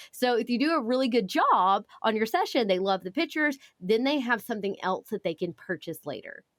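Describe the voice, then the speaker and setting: In a Southern US accent, a woman talks at a fairly quick pace with hardly any pauses, using a fairly high pitch and very wide pitch swings, in a dry, close sound with no echo. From US South. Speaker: photographer and business educator. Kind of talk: podcast interview. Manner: fast.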